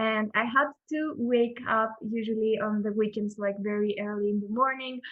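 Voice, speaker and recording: A woman with a Greek accent speaks at a fairly high pitch with fairly even intonation. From Greece. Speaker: front-end developer and teacher. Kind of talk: casual interview chat.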